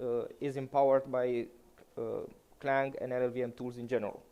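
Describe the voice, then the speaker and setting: A man speaking fairly high in pitch, at a moderate pace. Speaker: conference speaker. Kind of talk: conference talk. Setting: stage with audience. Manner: halting, many fillers.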